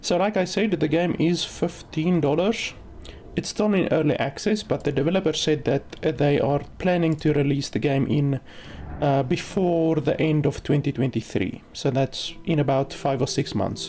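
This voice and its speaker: This woman has a very deep, low pitch and a dark, mellow tone, with a non-native accent. Her pitch varies in an ordinary way, her loudness stays very even, and her pace is moderate. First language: not English. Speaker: game streamer and reviewer. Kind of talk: livestream gameplay commentary. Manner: casual, many filler words.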